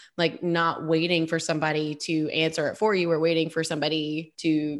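In a quiet background, a woman with a fairly low pitch speaks at a moderate pace in an animated, enthusiastic tone. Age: 20s. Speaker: podcast host and speech therapist. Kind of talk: casual interview chat.

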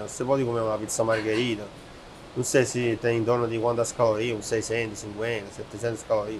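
A man with an Italian accent and a medium pitch speaks at a moderate pace. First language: Italian (speaking Portuguese). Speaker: chef and restaurateur. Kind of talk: casual interview.

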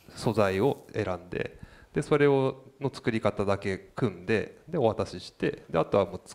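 This man has an unremarkable speaking voice and a fairly slow pace. He shows ordinary pitch variation and big swings in loudness. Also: fairly low pitch for a man. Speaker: designer. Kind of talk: casual chat.

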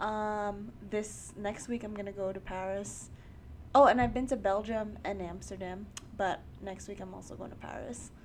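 Spoken at a fairly slow pace with a New York accent, the voice comes with audible room echo. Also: woman. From New York, Queens. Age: 20s. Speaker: podcast host. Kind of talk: casual chat.

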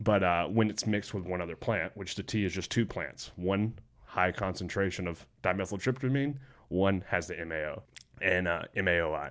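A man with a Southern US accent and a very deep, low pitch, at a moderate pace with ordinary pitch variation, in a very clean recording with a silent background. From Alabama. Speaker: skydiver and student. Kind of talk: casual chat.

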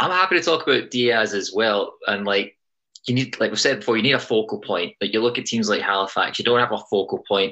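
Very fast and with lively intonation, a man with a Scottish accent speaks at a medium pitch and very even loudness. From Scotland. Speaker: soccer podcast host. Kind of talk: casual sports podcast banter. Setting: remote recording, different time zone from co-hosts.

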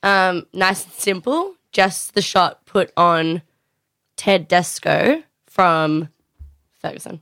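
A woman with an Australian accent speaks very slowly in a bright, sharp tone at a medium pitch, with ordinary pitch variation and long, frequent pauses. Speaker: podcast co-host. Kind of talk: casual banter.

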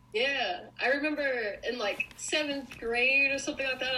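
Noticeable background noise surrounds a woman talking with an American accent. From US Northeast, Long Island, New York. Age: 20s. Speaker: pop culture blogger. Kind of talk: casual chat.

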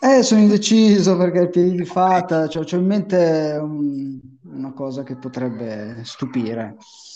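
Delivered at a fairly slow pace, the speech has very wide pitch swings and big swings in loudness over noticeable background noise. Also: man, fairly high pitch for a man. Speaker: fantasy football league player. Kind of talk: casual chat.

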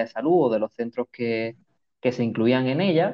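Talking at a fairly quick pace, a man uses an ordinary speaking voice with fairly even intonation. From Málaga, Andalusia, Spain. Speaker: midwife. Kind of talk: casual interview.

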